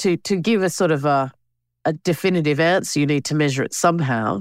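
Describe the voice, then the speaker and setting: A woman with an Australian accent and a very deep, low pitch, at a fairly quick pace with ordinary pitch variation and very even loudness, in a very clean recording with a silent background and a dry, close sound with no echo. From Australia (Alice Springs and Canberra). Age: 50s. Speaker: filmmaker and campaign co-chair. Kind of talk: interview.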